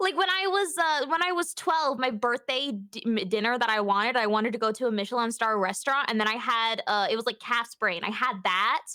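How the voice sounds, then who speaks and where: Over noticeable background noise, a woman with a fairly high pitch talks at a fairly quick pace, her pitch swinging very widely while her loudness stays very even. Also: hardly any pauses. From England. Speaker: streamer guest. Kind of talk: casual chat.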